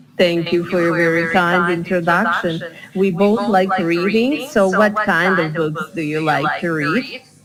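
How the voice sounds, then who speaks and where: A woman's fairly low voice at a fairly slow pace, with ordinary pitch variation, audible room echo and noticeable background noise. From Bosnia and Herzegovina. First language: Bosnian. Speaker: English teacher. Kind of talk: online English lesson.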